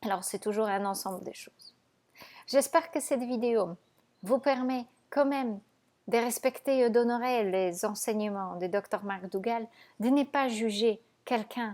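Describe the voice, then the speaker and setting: A woman with a non-native accent speaks at a fairly high pitch and a fairly slow pace, with ordinary pitch variation. She leaves long, frequent pauses on a very clean recording with a silent background. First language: not French (speaking French). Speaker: raw vegan nutrition coach. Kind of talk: video monologue to viewers.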